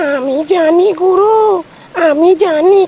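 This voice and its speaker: A put-on character voice at an extremely high pitch talks very slowly over clear background noise. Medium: audio drama.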